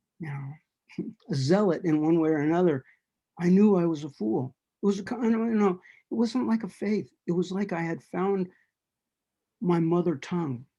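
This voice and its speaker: Speaking at a moderate pace with long, frequent pauses, a man with an American accent uses lively intonation, a high pitch and a dark, mellow tone. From Los Angeles, California. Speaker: juggler and storyteller. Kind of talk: interview conversation. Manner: halting.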